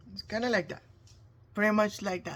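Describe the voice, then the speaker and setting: Here a woman speaks in a Spanish accent with a bright, sharp tone and a medium pitch. The recording is very clean, with a silent background. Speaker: face painter. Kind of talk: tutorial. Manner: casual, halting.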